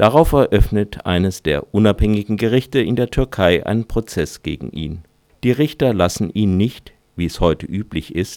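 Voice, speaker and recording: A man with a fairly low pitch speaks at a moderate pace with lively intonation, on a very clean recording with a silent background. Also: dry, close sound with no echo. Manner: dramatic storyteller delivery, dry and ironic, mock-solemn.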